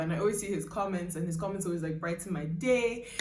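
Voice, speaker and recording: A woman at a medium pitch with ordinary pitch variation, plus noticeable background noise and audible room echo. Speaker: YouTuber and singer. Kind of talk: casual vlog. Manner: chatty, many fillers.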